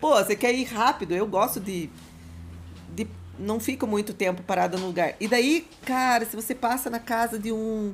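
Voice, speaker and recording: Her voice sits at a fairly high pitch and sounds somewhat breathy. The woman uses ordinary pitch variation. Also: moderate pace. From Curitiba, southern Brazil. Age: 40s. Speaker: motorcycle dealership owner. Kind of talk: casual chat.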